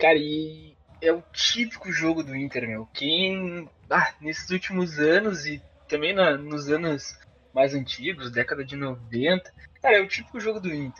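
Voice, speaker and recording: An ordinary speaking voice from a man with a fairly high pitch. He talks at a fairly slow pace with lively intonation. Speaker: football podcast host. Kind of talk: casual chat.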